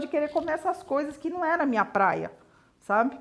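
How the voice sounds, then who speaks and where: A woman talks at a very fast pace in a high pitch. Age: 60s. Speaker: mother. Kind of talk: documentary interview.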